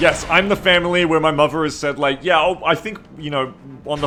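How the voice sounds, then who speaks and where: A man talks at a moderate pace with ordinary pitch variation, with noticeable background noise behind him. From Australia. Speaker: video game streamer. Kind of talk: live gameplay commentary and chat. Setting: live stream. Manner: casual, rambling with fillers.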